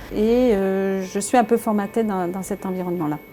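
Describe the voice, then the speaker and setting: Over noticeable background noise, a woman keeps a moderate pace and ordinary pitch variation. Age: 50s. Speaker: business owner. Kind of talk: interview testimony. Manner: hesitant with many fillers.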